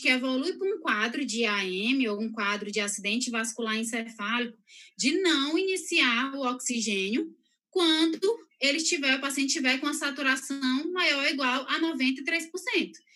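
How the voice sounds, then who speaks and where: A woman speaks in a raised, projected voice with a bright, sharp tone. Her pitch is high and her intonation lively. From northeastern Brazil, São Luís. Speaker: health professional giving a talk. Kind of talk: lecture. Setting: live stream. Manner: fast.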